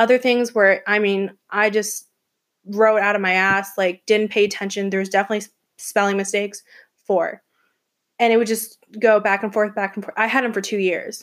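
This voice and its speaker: A woman with an American accent talks fairly quickly at a medium pitch in a monotone, flat intonation. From US South, Atlanta, Georgia. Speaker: college student podcaster. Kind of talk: casual monologue.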